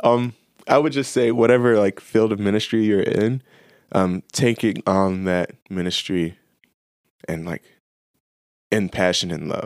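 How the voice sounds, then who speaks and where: A man talks at a fairly slow pace with long, frequent pauses and ordinary pitch variation. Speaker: church worship singer and creative director. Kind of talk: casual interview. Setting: small office studio. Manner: giggly, frequent filler words.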